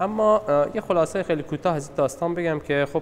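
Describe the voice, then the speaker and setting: A man speaks with a Balochistan accent. Noticeable background noise runs behind him. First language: Balochi (speaking Persian). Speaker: literature discussion presenter. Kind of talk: talk on a short story at a gallery session. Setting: art gallery meeting. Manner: hesitant, many fillers.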